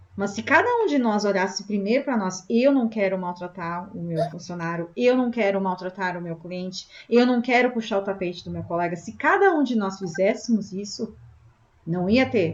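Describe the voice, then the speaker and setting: Speaking with a southern Brazilian accent, a woman uses a medium pitch and ordinary pitch variation. She keeps a moderate pace over noticeable background noise. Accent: gaúcho Brazilian Portuguese. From southern Brazil (Rio Grande do Sul). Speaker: spiritist meeting host. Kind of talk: group discussion.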